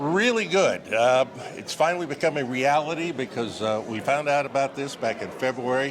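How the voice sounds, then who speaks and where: Noticeable background noise sits behind the speech. A man talks at a fairly high pitch with ordinary pitch variation. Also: moderate pace. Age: 70s. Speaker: TV broadcaster. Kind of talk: casual interview. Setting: red carpet event.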